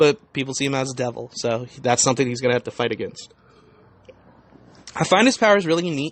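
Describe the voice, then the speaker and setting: The speech moves at a very fast pace with ordinary pitch variation, broken by long, frequent pauses. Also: man, medium pitch for a man. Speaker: podcast host. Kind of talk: casual podcast talk.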